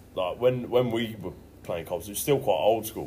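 Speaking at a moderate pace, a man with a medium-pitched voice is heard with audible room echo. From English Midlands. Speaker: amateur rugby player. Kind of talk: casual chat.

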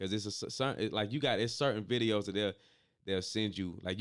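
A man's fairly low voice at a very fast pace. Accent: American. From US South, Atlanta area (Stone Mountain/Decatur). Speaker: entertainer and musician. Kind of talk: casual chat. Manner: animated.

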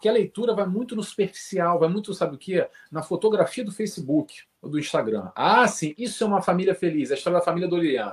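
A man with a high pitch, a fairly quick pace and hardly any pauses. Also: ordinary pitch variation. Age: 40s. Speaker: spiritist study group leader. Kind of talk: casual chat.

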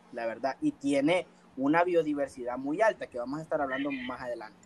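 A man's fairly high pitch with ordinary pitch variation at a moderate pace. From El Salvador. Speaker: podcast host. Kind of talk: casual chat.

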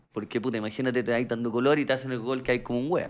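A man speaks very fast in a Chilean accent, at a medium pitch. The recording is very clean, with a silent background. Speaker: podcast host. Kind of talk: casual chat.

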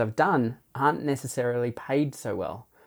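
Dark, mellow tone from a man, captured in a very clean recording against a silent background. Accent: Australian. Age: 40s. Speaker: street theatre performer. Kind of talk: interview. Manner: hesitant, many fillers.

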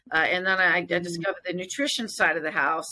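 Energetic in tone, a woman at medium pitch talks at a very fast pace with a bright, sharp tone. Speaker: fitness studio owner, military veteran. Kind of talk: casual interview.

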